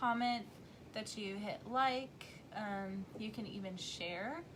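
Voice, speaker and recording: With a Tennessee accent, a woman speaks in a relaxed, soothing tone. Audible room echo and noticeable background noise fill the recording. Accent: Southern US twang, increasingly Tennessee. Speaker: craft demonstrator and seller. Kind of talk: live craft tutorial. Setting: livestream. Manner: chatty, relaxed.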